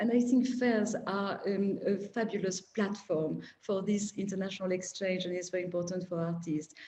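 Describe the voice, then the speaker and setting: A woman with a French accent speaks at a moderate pace in a medium pitch, her intonation fairly even and her delivery hardly pausing at all. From France. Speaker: art collector. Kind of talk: panel discussion.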